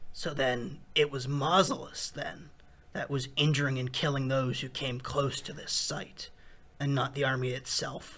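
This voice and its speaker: A man's put-on character voice, raspy and monotone with flat intonation, at a medium pitch and moderate pace. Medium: cartoon. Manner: casual and blunt.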